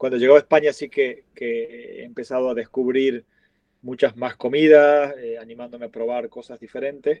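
A man with an Argentine accent, medium in pitch, at a fairly quick pace. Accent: Argentine, noticeable. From Argentina. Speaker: restaurant chain founder. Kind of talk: interview.

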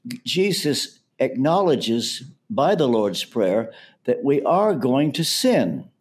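With an American accent, a man speaks at a fairly high pitch, using vocal fry and very wide pitch swings. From US South, Kentucky. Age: 80s+. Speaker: pastor and author. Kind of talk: interview.

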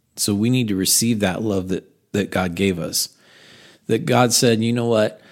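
In a plain, everyday voice, a man with an American accent speaks at a fairly low pitch and moderate pace, his intonation fairly even. The recording is very clean, with a silent background. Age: 40s. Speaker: pastor. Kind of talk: sermon recap podcast.

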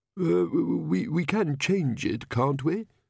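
A put-on character voice with a slightly husky edge, slightly mellow tone, vocal fry and lively intonation, at a slow pace, in a very clean recording with a silent background. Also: man, fairly high pitch for a man.

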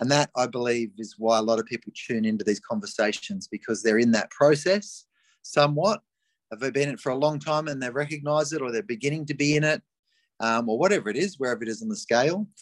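In an Australian accent, a man races along at a very fast pace, his fairly high pitch swinging very widely, with a dry, close sound and no echo. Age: 50s. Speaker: life coach. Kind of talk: casual chat. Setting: video call.

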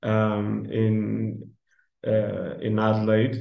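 This is a man speaking. His pitch is medium. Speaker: port wine blender. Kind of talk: interview.

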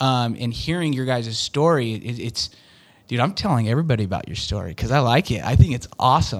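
A man with an American accent talks at a fairly quick pace and medium pitch with lively intonation, on a very clean recording with a silent background. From Utah. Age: 40s. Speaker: door-to-door sales manager. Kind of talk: interview.

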